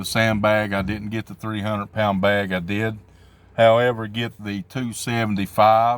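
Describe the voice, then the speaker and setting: Speaking at a fairly slow pace, a man with a medium pitch talks in a Southern US accent. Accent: southern drawl. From southwestern Virginia, Appalachia. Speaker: amateur strongman athlete. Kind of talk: casual vlog talk. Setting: at work.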